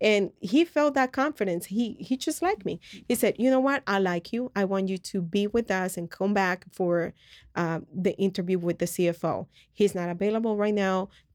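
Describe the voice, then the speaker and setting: With a Spanish accent, a woman speaks at a moderate pace and ordinary pitch variation, in a dry, close sound with no echo. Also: medium pitch for a woman, very clean recording, silent background. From Colombia. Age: young. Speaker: podcast co-host. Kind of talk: personal testimony.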